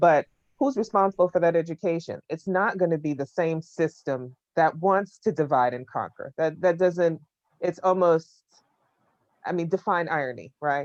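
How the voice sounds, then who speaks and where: In an ordinary speaking voice with an American accent, a woman talks at a moderate pace with fairly low pitch and ordinary pitch variation, in a dry, close sound with no echo. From United States. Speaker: panelist. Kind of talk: panel discussion.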